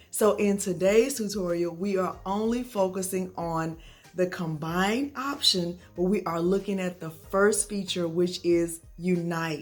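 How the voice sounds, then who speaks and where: With music in the background, a woman speaks at a fairly slow pace with hardly any pauses and ordinary pitch variation. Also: medium pitch for a woman. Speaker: craft tutorial youtuber. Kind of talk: tutorial. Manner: friendly, chatty.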